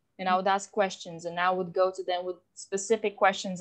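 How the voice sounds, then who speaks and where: A woman talks at a fairly quick pace with a non-native accent. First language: not English. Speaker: podcast host. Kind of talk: casual interview chat. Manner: many fillers and restarts.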